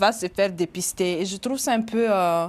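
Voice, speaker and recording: Her speech comes at a fairly slow pace, from a woman. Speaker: journalist. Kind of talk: interview. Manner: hesitant.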